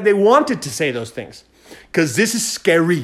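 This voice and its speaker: This man talks in an energetic, enthusiastic tone. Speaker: podcast host. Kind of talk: solo monologue podcast, motivational talk. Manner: fast talker, animated.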